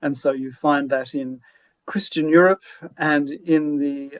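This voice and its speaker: With an Australian accent, a man speaks fairly slowly at a fairly high pitch, the sound dry and close with no echo. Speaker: law professor. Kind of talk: webinar discussion. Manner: halting.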